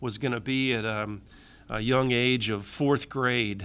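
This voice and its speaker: In a Michigan accent, a man speaks with a bright, sharp tone and fairly even intonation. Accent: Midwestern US (Michigan). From Michigan, with teen years in Tennessee and Florida. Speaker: public safety agency director, engineer. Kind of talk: interview. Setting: podcast. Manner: hesitant, many fillers.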